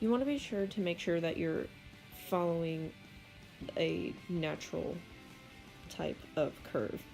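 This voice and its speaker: A woman's very slow speech plays out over background music. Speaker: digital artist. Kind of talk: casual art tutorial narration. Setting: home recording, poor audio quality. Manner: hesitant, casual.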